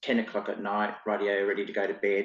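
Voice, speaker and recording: A man's fairly low-pitched voice comes through in an Australian accent. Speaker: clairvoyant and spiritual teacher. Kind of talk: interview podcast. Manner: casual, hesitant fillers.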